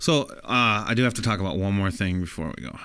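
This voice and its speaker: An animated man at a fairly low pitch and a very fast pace, against a quiet background. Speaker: podcast host. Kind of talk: casual comedic banter. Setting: live stream. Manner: joking, crude, animated.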